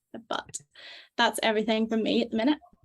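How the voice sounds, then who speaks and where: A woman speaks with a Northern Irish accent. Her voice has vocal fry. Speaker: medical student, webinar moderator. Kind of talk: event introduction. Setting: video call webinar.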